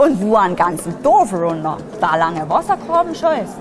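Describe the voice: With music in the background, a woman speaks in an Upper Lusatian accent at medium pitch. Her pace is fairly slow and her intonation lively.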